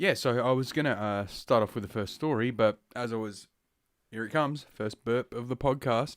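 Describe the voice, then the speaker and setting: The speaker has an Australian accent and talks at a moderate pace with ordinary pitch variation. The recording is very clean, with a silent background. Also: man, medium pitch for a man. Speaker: podcast host. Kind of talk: casual podcast monologue. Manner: heavy breathing through nose.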